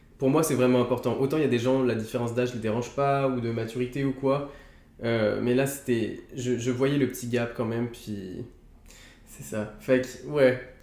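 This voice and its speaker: Audible room echo surrounds a man's medium-pitched voice. He talks at a moderate pace in a monotone with flat intonation. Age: 20s. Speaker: YouTuber friend. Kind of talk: casual chat.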